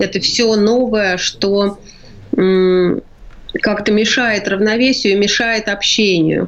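A woman with a medium pitch speaks at a very slow pace and with fairly even intonation over noticeable background noise. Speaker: palliative care director. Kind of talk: radio interview. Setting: remote line from quarantine.

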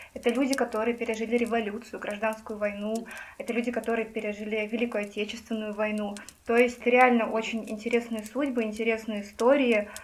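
Over noticeable background noise, a woman with a fairly high voice talks fairly quickly in a flat, monotone way. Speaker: journalist. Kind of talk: casual chat.

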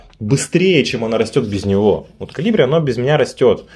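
A man's voice swings very widely in pitch, with music in the background. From Yekaterinburg, Russia. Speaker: startup founder. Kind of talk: casual chat.

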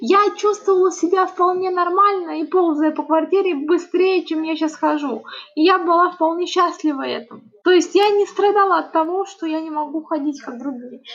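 Noticeable background noise sits behind a woman with an extremely high pitch, who talks at a moderate pace with ordinary pitch variation. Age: 30s. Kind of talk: interview testimony.

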